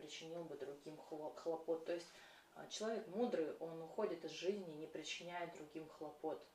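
Fairly low pitch from a woman, carried with audible room echo. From Russia, Krasnoyarsk. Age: 30s. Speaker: podcast host, feng shui coach. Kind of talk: spontaneous monologue.

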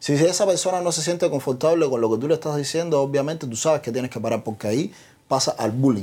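A very fast-talking man with a fairly high pitch, a dark, mellow tone and lively intonation, on a very clean recording with a silent background. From Cuba. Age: 30s. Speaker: social media comedian. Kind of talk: interview.

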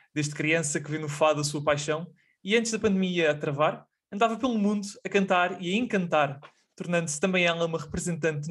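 Speaking at a fairly quick pace, a man uses a high pitch. His pitch variation is ordinary. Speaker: podcast host. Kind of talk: interview.

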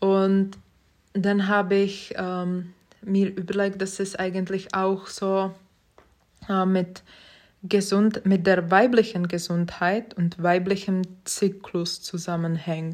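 A woman with a Czech accent talks very slowly in a flat monotone at a medium pitch, leaving long, frequent pauses. The recording is very clean, with a silent background. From Czech Republic, Prague. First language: Czech (speaking German). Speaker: podcast host. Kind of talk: casual monologue. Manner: hesitant, many fillers.

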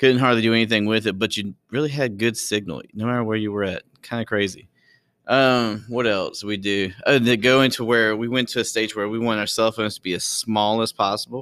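Very clean with a silent background, this recording has a man of medium pitch talking at a fairly quick pace with fairly even intonation in an unremarkable speaking voice. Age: 30s. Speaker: podcast host and history teacher. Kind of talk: casual solo monologue. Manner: laughing often.

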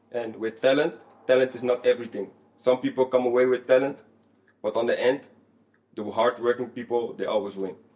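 Speech in a Dutch accent moves at a fairly quick pace with monotone, flat intonation and long, frequent pauses. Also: man, medium pitch for a man. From Netherlands. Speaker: former footballer. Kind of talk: casual interview.

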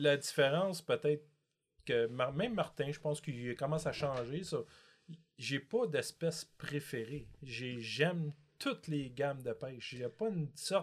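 A man speaks at a fairly slow pace with a somewhat breathy voice. His pitch is fairly high, with ordinary pitch variation. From Quebec, Montreal. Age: 50s. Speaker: multi-species angler. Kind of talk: casual chat.

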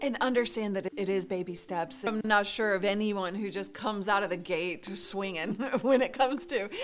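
Against noticeable background noise, a woman with a medium pitch and a bubbly tone speaks fairly quickly. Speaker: video coach, live streamer. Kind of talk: interview. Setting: video call.

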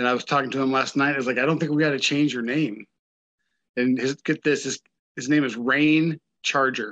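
In a normal speaking voice, a man talks at a fairly quick pace with medium pitch and fairly even intonation. The sound is dry and close with no echo, over a quiet background. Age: 50s. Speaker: heavy metal musician. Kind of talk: interview.

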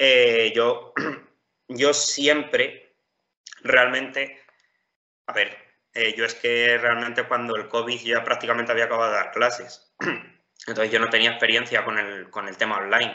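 Speaking at a fairly slow pace with long, frequent pauses, a man holds a monotone, flat intonation at a medium pitch. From Spain, Ciudad Real (La Mancha). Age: 20s. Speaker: top-scoring civil service exam candidate. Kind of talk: interview. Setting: call. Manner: hesitant, with repetitions.

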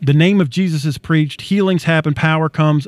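On a dry, close sound with no echo, a man has a plain, everyday voice, fairly high in pitch with ordinary pitch variation. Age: 50s. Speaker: bible teacher and co-host. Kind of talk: bible teaching.

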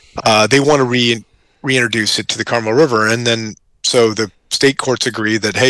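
The speaker talks at a fairly quick pace in an American accent, with fairly even intonation and a bright, sharp tone. The sound is dry and close with no echo, on a very clean recording with a silent background. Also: man. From Colorado mountains (Central City). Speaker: radio host and business owner. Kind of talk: casual chat.

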